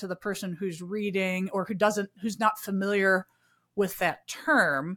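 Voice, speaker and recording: A woman talks at a moderate pace with a Midwestern American accent. The recording is very clean, with a silent background. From US Midwest. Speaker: podcast host. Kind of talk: casual interview chat.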